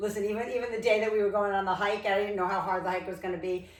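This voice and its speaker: A woman's medium-pitched voice in an American accent, with audible room echo and noticeable background noise. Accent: Rhode Island accent, comes out at times. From Rhode Island, US. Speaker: fitness instructor. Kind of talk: workout instruction. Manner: casual, chatty.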